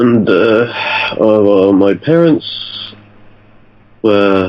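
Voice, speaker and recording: With a British accent, a man talks at a fairly low pitch with ordinary pitch variation over noticeable background noise. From UK. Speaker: podcast guest, history graduate. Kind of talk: podcast interview. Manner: halting.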